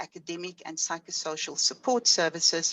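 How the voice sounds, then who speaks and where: In a normal speaking voice, a woman talks at a moderate pace in a fairly low pitch with lively intonation. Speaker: professor. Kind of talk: lecture.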